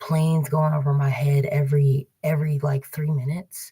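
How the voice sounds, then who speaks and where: Someone whispers at a fairly slow pace. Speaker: tarot card reader livestreamer. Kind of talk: casual livestream monologue. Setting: public library computer. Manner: whispering; halting, many fillers.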